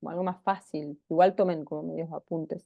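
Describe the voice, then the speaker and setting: A woman speaks slowly, at a fairly slow pace, in a dark, mellow tone. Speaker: teacher. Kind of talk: lecture.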